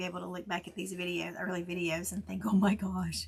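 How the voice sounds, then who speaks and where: A woman is speaking. Her voice has vocal fry. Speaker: crafter and tumbler maker; Air Force veteran. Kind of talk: casual tutorial.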